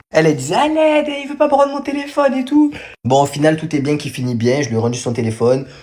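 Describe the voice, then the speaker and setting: Very fast and animated, a man's high-pitched voice makes very wide pitch swings over noticeable background noise. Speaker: storyteller vlogger. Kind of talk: casual storytime.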